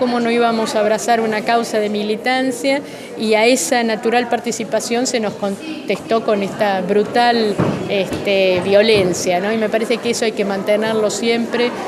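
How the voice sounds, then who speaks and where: A woman's fairly high voice with fairly even intonation, audible room echo and noticeable background noise. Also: moderate pace. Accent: Argentine. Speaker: human rights survivor and author. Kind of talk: interview.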